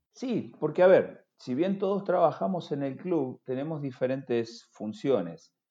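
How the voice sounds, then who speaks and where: At a fairly slow pace, a man talks with lively intonation, a dark, mellow tone and a fairly high pitch. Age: 50s. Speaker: football sporting director and former player. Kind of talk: interview conversation. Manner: halting, many repeated words.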